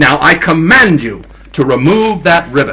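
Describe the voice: A man puts on a character voice at a fairly high pitch, with a bright, sharp tone. He moves at a fairly slow pace and makes big pitch swings.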